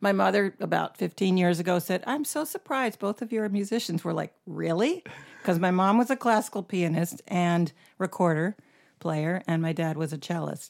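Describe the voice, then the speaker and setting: In a very clean recording with a silent background, a woman speaks in a plain, everyday voice at medium pitch and a moderate pace, with ordinary pitch variation. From US South, North Carolina (and Syracuse, New York). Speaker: singer and bass player, band leader. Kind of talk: casual interview.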